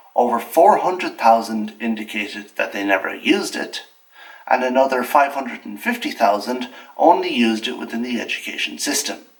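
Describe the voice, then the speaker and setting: A man with an Irish accent at a fairly quick pace, with big swings in loudness. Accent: Irish, Gaeltacht. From Ireland, Gaeltacht. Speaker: video essayist. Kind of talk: scripted commentary. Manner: formal.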